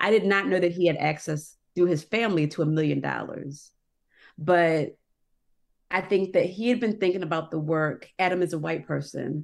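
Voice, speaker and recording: In an ordinary speaking voice, a woman talks at a moderate pace with fairly low pitch and ordinary pitch variation. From Annapolis, Maryland, US. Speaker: newspaper editor. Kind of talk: interview.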